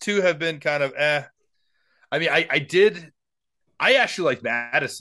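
Against a quiet background, a man with a bright, sharp tone and lively intonation talks at a fairly quick pace, broken by long, frequent pauses. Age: 40s. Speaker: podcast co-host. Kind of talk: casual chat. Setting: video call.

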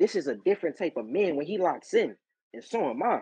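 With very wide pitch swings and an animated tone, a man speaks in a dry, close sound with no echo. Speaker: wrestler. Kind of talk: casual chat, animated. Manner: animated, repeats for emphasis.

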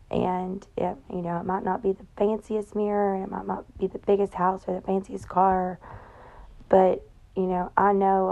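A woman in a Southern US accent, medium in pitch, with a dark, mellow tone, flat monotone intonation and a moderate pace. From Tennessee. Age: 30s. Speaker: podcast host. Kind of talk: casual monologue. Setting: in bed at home.

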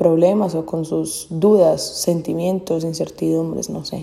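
A woman speaks with a normal speaking voice and ordinary pitch variation. Her pace is fairly slow. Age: 20s. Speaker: podcaster. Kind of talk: casual monologue.

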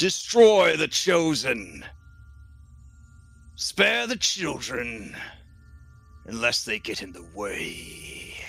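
A man's put-on character voice, menacing in tone, at a very slow pace with long, frequent pauses, very wide pitch swings, big swings in loudness and faint music in the background. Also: medium pitch for a man. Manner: commanding, menacing.

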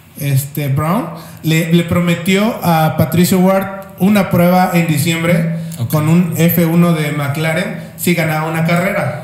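A man with a high pitch speaks at a very slow pace, with fairly even intonation and hardly any pauses. Audible room echo and noticeable background noise come through. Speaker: motorsport podcast co-host. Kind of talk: casual chat.

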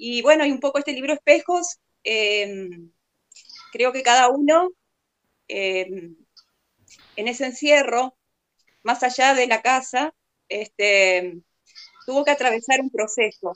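With long, frequent pauses, a woman speaks at a fairly slow pace in a high pitch with lively intonation, the sound dry and close with no echo. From Argentina, Paraná, Entre Ríos. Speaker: poet. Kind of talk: literary talk.

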